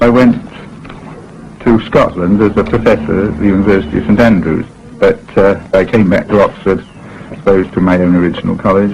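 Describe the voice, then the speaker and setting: Amid noticeable background noise, a man with a fairly low pitch and ordinary pitch variation speaks at a fairly quick pace. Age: 50s. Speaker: philosophy professor. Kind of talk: interview reminiscence.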